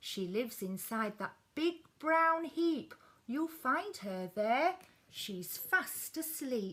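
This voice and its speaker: Putting on a character voice, a woman speaks very slowly in a high pitch with very wide pitch swings. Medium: read story. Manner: clucking.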